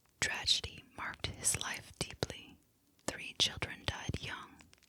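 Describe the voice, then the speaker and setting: The speaker whispers in a calm tone at a fairly slow pace. Noticeable background noise is present. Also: woman. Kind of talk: historical narration. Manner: whispered; soft, calm.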